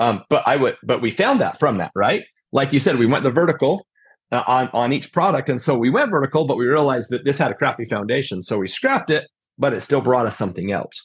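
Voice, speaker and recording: Speaking very fast with lively intonation, a man uses an American accent at a medium pitch. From Utah. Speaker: contractor, company owner. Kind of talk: casual interview chat. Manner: conversational, filler-heavy.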